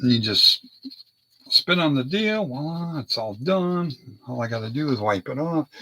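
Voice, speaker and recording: With a dry, close sound and no echo, a man talks at a fairly slow pace in a fairly high voice, his pitch swinging very widely. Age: 50s. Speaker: model car hobbyist. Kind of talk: casual hobby video.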